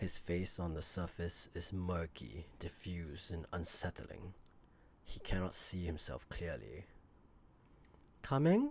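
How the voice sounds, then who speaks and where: A man with a very deep, low pitch speaks at a very slow pace with long, frequent pauses, lively intonation and a somewhat breathy sound, in a very clean recording with a silent background. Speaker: amateur voice actor. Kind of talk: audiobook lore narration.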